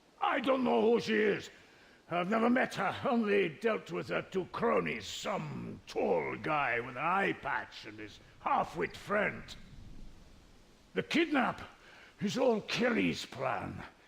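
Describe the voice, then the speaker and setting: A put-on character voice at a fairly slow pace. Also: man, high pitch for a man. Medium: video game. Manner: gruff, defiant.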